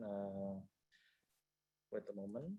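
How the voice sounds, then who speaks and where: A man speaks quietly. His tone is dark and mellow. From Indonesia. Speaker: tax consultant and lawyer. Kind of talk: panel presentation. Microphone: too quiet.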